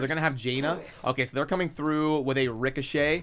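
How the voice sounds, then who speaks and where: A man with a fairly high pitch talks at a very fast pace. His intonation is fairly even, and noticeable background noise can be heard. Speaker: gaming content creator. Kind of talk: live gameplay commentary.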